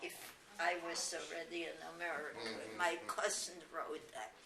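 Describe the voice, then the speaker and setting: A woman speaks very slowly with a German accent. Noticeable background noise sits behind her. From Germany. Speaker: Holocaust refugee. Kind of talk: oral history interview answer.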